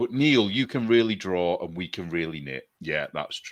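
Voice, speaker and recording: A man with a northern English accent talks at a very slow pace with a fairly low pitch. His intonation is lively, and the background is quiet. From northern England. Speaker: artist and knitting show co-host. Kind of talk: casual chat.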